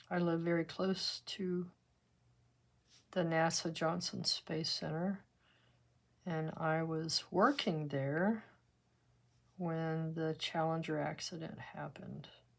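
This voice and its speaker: A woman with an American accent speaks in a fairly low, relaxed voice at a very slow pace, with long, frequent pauses. The recording is very clean with a silent background. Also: fairly even intonation. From West Texas. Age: 70s. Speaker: art teacher. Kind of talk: tutorial with casual chat. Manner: relaxed, conversational.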